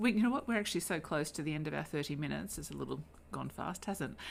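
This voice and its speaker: A woman with an Australian accent talks with vocal fry. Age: 50s. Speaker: podcast host. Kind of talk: interview. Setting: face to face at home. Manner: hesitant with fillers.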